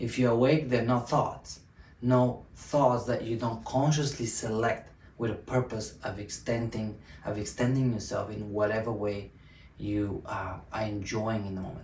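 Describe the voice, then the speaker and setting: With audible room echo, a man talks at a moderate pace, his medium-pitched voice somewhat breathy. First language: Bulgarian. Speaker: self-help video host. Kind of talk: motivational talk to camera. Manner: halting, many fillers and restarts.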